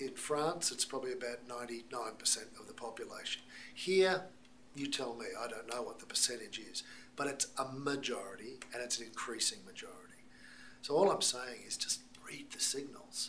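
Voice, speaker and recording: In an Australian accent, the speaker uses lively intonation and big swings in loudness at a moderate pace. Audible room echo and noticeable background noise fill the recording. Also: man, medium pitch for a man. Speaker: missiologist and speaker. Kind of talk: talk to American church audience.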